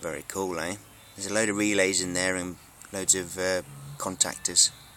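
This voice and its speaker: A man with an English accent, very deep and low in pitch, flat and monotone, over noticeable background noise. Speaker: electronics hobbyist YouTuber. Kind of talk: show-and-tell tutorial. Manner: hesitant with many fillers; fast.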